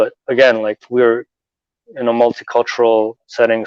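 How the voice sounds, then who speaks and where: A man with a Canadian accent is heard in a dry, close recording with no echo. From Canada, Toronto. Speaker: convert guest. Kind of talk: podcast interview. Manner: halting, many fillers.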